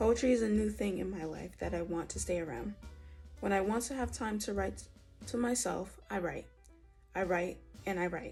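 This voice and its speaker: With music in the background, a woman talks at a moderate pace, leaving long, frequent pauses. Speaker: poet. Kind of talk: spoken word poetry reading.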